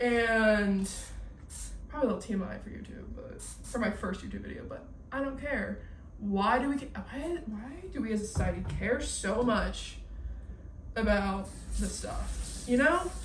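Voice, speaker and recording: A woman speaks in an animated tone, with long, frequent pauses and big swings in loudness. The room echo is audible and the background noise is noticeable. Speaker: YouTuber, college student. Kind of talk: casual chat. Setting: at home cleaning kitchen. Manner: fast.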